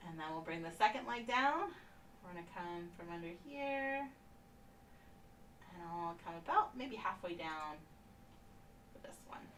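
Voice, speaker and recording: Soft-spoken and fairly low in pitch, a woman talks at a fairly slow pace with long, frequent pauses, very wide pitch swings and big swings in loudness, amid noticeable background noise and audible room echo. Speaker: painting instructor. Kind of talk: tutorial. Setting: live stream. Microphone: no microphone, may sound too low.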